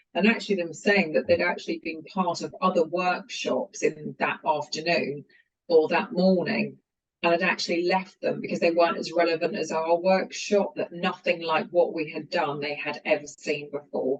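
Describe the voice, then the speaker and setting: Someone with a British accent speaks at a moderate pace. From UK. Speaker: company founder and CEO. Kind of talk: interview.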